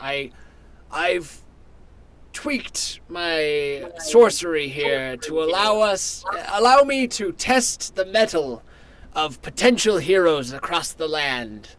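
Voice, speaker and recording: The put-on character voice moves at a fairly slow pace. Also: man, high pitch for a man. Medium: actual play.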